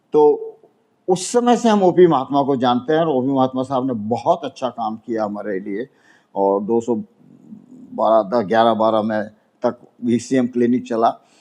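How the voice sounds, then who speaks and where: Against a quiet background, a man speaks at a medium pitch in a dark, mellow tone with ordinary pitch variation. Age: 80s+. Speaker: elderly NRI building owner. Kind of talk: news interview statement. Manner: halting.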